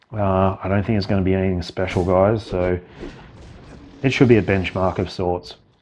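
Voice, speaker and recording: Quiet and very deep, a man speaks at a moderate pace with fairly even intonation and long, frequent pauses. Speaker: gaming video creator. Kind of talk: gameplay commentary. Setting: at home late at night. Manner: speaking very quietly.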